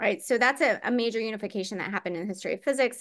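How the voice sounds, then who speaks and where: Against a quiet background, a woman talks at a very fast pace with a fairly high pitch. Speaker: physicist presenting a webinar talk. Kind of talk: lecture. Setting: online webinar. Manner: many filler words (um, uh).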